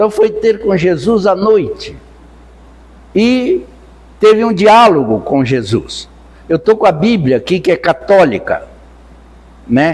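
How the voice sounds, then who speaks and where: A man talks at a very slow pace. Long pauses come often. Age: 80s+. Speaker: spiritist lecturer. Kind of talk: lecture. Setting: spiritist center with audience.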